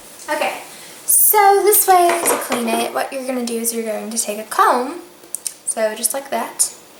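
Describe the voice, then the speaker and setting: A woman with a Southern US accent speaks at a high pitch with very wide pitch swings. Audible room echo and noticeable background noise fill the recording. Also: moderate pace. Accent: US South. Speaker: beauty vlogger. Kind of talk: tutorial.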